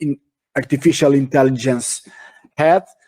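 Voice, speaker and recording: A man speaks with a Portuguese accent at a fairly high pitch. The sound is dry and close, with no echo. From Portugal. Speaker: shipping industry speaker. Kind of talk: webinar talk. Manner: halting, many fillers and repetitions.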